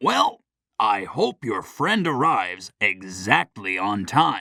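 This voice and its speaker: A man uses a put-on character voice, fairly low in pitch with lively intonation, at a fairly slow pace. The recording is very clean and silent behind him, dry and close with no echo. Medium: audio drama. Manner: calm, measured.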